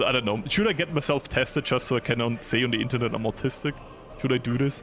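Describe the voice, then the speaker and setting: A man talks at a fairly quick pace. There is music in the background. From Austria, Vienna. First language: German. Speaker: video game streamer. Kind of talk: casual live-stream commentary. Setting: live stream.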